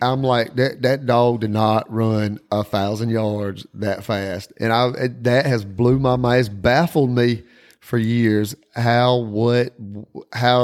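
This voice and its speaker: A man with a Southern US accent speaks at a fairly slow pace. His medium-pitched voice has fairly even intonation. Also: very clean recording, silent background. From South Carolina, Whitmire. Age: 40s. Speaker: podcast host, coon hunter. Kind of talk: casual chat.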